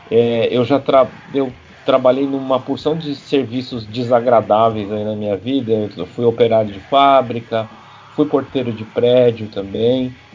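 In a normal speaking voice, the speaker goes at a fairly slow pace with fairly even intonation and big swings in loudness. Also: man, medium pitch for a man. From São Paulo, south zone. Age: 40s. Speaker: punk musician. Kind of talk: casual chat.

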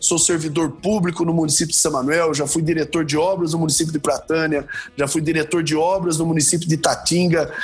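At a fairly quick pace with hardly any pauses, a man talks in a fairly high pitch, his intonation monotone and flat and his loudness very even, against noticeable background noise. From Brazil, interior of São Paulo state. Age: 40s. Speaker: mayor and political candidate. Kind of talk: political interview.

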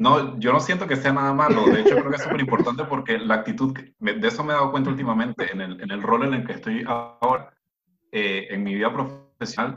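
The voice has a bright, sharp tone, moves at a fairly quick pace and swings very widely in pitch. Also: man. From Venezuela. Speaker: researcher. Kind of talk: casual chat.

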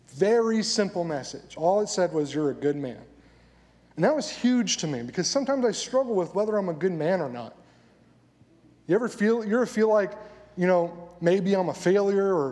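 Audible room echo surrounds a man speaking at a moderate pace. His voice is high-pitched, with lively intonation. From inner-city Southern California. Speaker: pastor. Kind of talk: sermon. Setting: church. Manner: animated.

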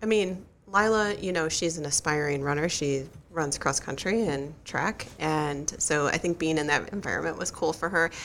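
Her voice very deep and low, a woman speaks at a moderate pace with ordinary pitch variation. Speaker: guest co-host, runner's wife and crew chief. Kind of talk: casual interview; heartfelt advice. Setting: studio. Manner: soft-spoken.

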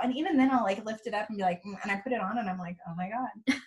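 A woman speaks with a Californian accent and ordinary pitch variation. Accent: General Californian English. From California, Bay Area. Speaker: nonprofit youth program worker. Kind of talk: casual chat. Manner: fast.

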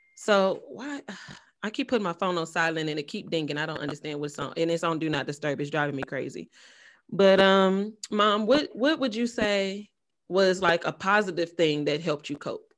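The recording is very clean with a silent background. The speech moves at a moderate pace with lively intonation. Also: woman, fairly low pitch for a woman. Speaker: podcast host. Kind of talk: casual chat. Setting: studio. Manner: calm.

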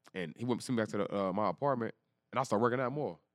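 A man talks very fast with lively intonation at a medium pitch. The sound is dry and close, with no echo. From Texas, East Dallas. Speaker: football player and trainer. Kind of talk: casual interview storytelling.

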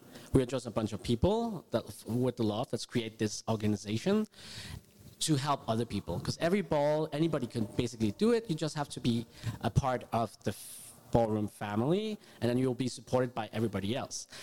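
Dark and mellow in tone, a man's medium-pitched voice moves at a fairly quick pace with ordinary pitch variation, recorded dry and close with no echo. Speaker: ballroom association board member. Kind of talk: panel discussion. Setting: stage with audience.

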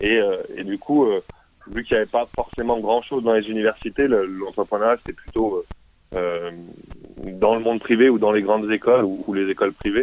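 A man with a fairly low voice keeps his intonation fairly even and his pace moderate. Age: 30s. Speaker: business incubator founder and mentor. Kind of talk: interview. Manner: halting.

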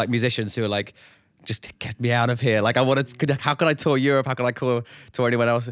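A man with a London accent talks at a very fast pace on a very clean recording with a silent background. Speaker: touring musician. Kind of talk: casual chat.

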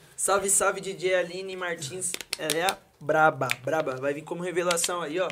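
Amid noticeable background noise, a man talks in a high pitch with fairly even intonation. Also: moderate pace. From Campinas, São Paulo state, Brazil. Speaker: funk MC. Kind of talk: casual chat.

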